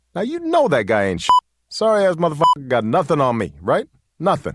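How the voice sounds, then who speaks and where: A man talking fairly quickly with very wide pitch swings over music in the background. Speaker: radio host. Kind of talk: radio show hosting with music commentary. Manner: casual, stumbling, conversational.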